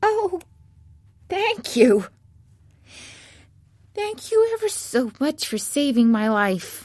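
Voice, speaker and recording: A woman puts on a squeaky character voice, high in pitch with very wide pitch swings. She talks at a very slow pace with long, frequent pauses. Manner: grateful.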